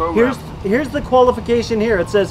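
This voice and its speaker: The speaker goes at a moderate pace against noticeable background noise. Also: man. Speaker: street preacher. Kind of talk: sermon. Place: open country. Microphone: camera far.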